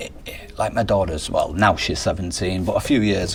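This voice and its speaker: Amid noticeable background noise, a man keeps to a moderate pace. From northern England, Manchester. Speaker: strength and conditioning coach. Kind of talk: casual interview chat.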